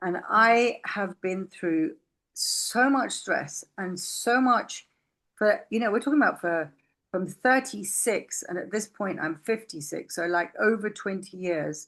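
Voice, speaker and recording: Speaking at a fairly slow pace with lively intonation, a woman uses a medium pitch and a plain, everyday voice. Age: 60s. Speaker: podcast guest sharing personal health story. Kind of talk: casual interview conversation.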